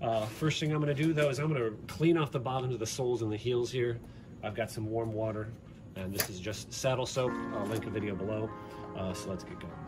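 A man speaking at a very fast pace over clear music in the background. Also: ordinary pitch variation. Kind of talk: tutorial. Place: home room. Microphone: phone near.

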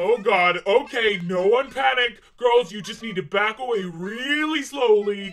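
Putting on a character voice, a man speaks at a high pitch. The pace is moderate, with hardly any pauses. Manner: frantic, whimpering.

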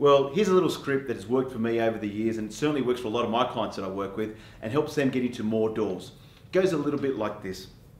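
A man talks very fast, with audible room echo around him. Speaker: real estate coach. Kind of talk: tutorial. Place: studio.

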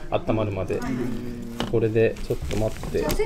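With music playing in the background, a man talks at a very fast pace. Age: 20s. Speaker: dried-flower wreath maker. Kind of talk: workshop instruction. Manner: polite, soft-spoken. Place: hall. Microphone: camera far.

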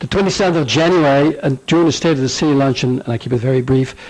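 A man speaks with a Dutch accent. His pitch varies in an ordinary way. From Netherlands. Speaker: business owner, chamber of commerce chairman. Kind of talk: public comment at hearing. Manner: informal, joking.

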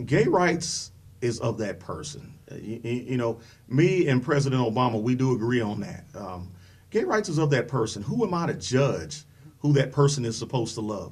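With lively intonation and an American accent, a man at a medium pitch speaks at a moderate pace. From US Midwest (Dayton, Ohio). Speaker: political candidate. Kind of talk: interview. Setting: studio. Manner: halting, many fillers.

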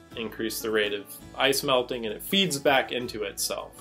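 The speaker is a man at a moderate pace. Faint music sits in the background. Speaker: educational vlogger. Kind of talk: explanatory commentary. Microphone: studio mic.

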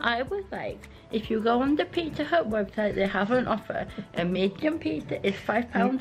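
The speaker keeps a moderate pace. Faint music plays in the background. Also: woman. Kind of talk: casual vlog chat. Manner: groggy, slurred post-anaesthetic speech.

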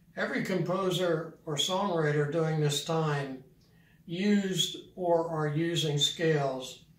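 The intonation of this man is fairly even. His voice carries an audible room echo. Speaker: piano teacher. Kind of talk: tutorial. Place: home room.

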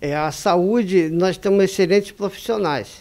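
This man's voice sits at a high pitch. He speaks at a fairly slow pace. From Rio de Janeiro, Brazil. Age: 60s. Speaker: van driver running for city council. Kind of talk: campaign interview. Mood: earnest, indignant. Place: studio. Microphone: handheld.

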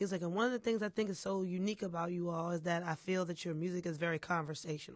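Someone with an American accent speaks very fast against a quiet background, the sound dry with no echo. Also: hardly any pauses. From Philadelphia. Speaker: singer. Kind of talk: interview. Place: studio. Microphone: studio mic.

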